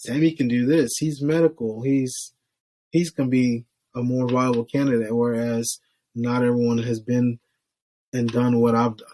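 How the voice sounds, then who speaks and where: Recorded dry and close with no echo, a man with an American accent speaks at medium pitch in a dark, mellow tone with fairly even intonation. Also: moderate pace. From Florida, Haitian descent. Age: 30s. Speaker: state trooper, ex-firefighter. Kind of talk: casual chat.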